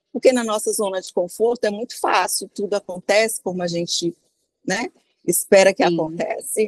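A woman speaks in an unremarkable speaking voice at a medium pitch and a moderate pace. Her pitch variation is ordinary, and the sound is dry and close with no echo. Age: 50s. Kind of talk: interview. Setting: remote call from abroad.

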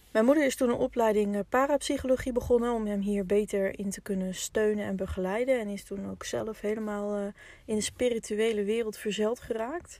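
Fairly quick and with hardly any pauses, a woman speaks in a dark, mellow tone at a fairly high pitch with fairly even intonation. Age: 20s. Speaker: podcast host. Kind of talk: personal storytelling monologue. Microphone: poor sound quality in first episode.

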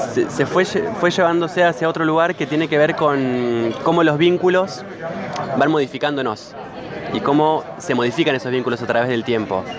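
A moderate pace and ordinary pitch variation come through over noticeable background noise and audible room echo. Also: man, fairly high pitch for a man. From Argentina, Santa Rosa, La Pampa. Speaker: filmmaker. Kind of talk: interview.

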